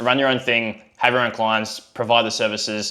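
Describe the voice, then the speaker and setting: In an Australian accent, a man talks at a fairly quick pace with an energetic tone and a bright, sharp tone. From Australia, Melbourne. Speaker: online business coach, agency co-founder. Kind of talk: talking-head tutorial video. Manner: casual, energetic.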